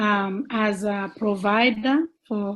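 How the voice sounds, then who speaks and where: Her voice somewhat breathy, a woman speaks at a fairly high pitch with ordinary pitch variation. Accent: non-native. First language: not English. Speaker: childcare provider. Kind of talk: question at a virtual forum. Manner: halting.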